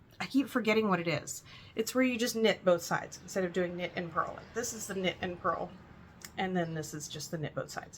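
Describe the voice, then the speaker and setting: A woman at medium pitch with ordinary pitch variation and big swings in loudness, over noticeable background noise. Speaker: cross stitch and knitting vlogger, shop owner. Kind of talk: casual hobby vlog.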